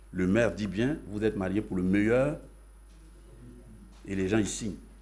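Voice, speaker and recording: The room echo is audible as a man talks at a moderate pace. His fairly low voice carries vocal fry and ordinary pitch variation. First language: Yacouba (Dan) (speaking French). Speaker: pastor. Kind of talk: sermon.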